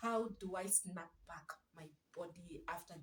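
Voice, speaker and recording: A somewhat breathy woman's voice, fairly low in pitch, with fairly even intonation. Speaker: parenting vlogger. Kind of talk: casual vlog talk. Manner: soft-spoken.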